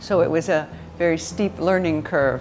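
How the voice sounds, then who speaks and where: Over noticeable background noise, a woman with an American accent and a very deep, low pitch talks at a moderate pace. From United States. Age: 60s. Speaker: professor. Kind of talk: interview storytelling.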